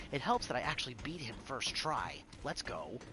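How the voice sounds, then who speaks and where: A man speaks over noticeable background noise. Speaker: gaming streamer. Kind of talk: live gameplay commentary. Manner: casual.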